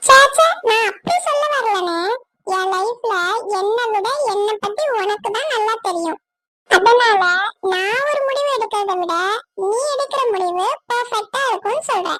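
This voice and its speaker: A cartoonish character voice at a fairly slow pace, with ordinary pitch variation. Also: woman, extremely high pitch for a woman. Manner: gentle, respectful.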